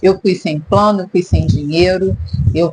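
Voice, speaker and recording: A woman's fairly low voice with lively intonation, amid noticeable background noise. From Brazil, Rio de Janeiro. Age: 50s. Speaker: therapist and vlogger. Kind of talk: personal vlog monologue.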